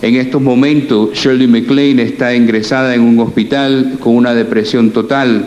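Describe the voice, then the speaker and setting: A man is speaking. Audible room echo and noticeable background noise surround his voice. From Cuba, left at age four, raised in the US. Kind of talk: lecture. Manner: halting, frequent self-corrections.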